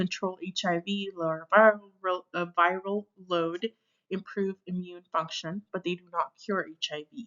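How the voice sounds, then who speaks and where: A woman at medium pitch speaks at a very slow pace with fairly even intonation. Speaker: nursing instructor or tutor. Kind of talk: lecture. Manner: hesitant with many fillers.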